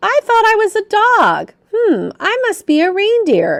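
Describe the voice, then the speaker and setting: Using a put-on character voice, a woman speaks at a fairly slow pace in an extremely high, squeaky pitch. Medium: read story.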